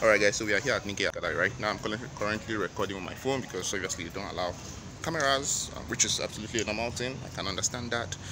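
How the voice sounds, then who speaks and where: Over noticeable background noise, a man speaks at a very fast pace in a fairly low pitch. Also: ordinary pitch variation. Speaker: travel vlogger. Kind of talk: casual vlog chat. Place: street. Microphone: phone near.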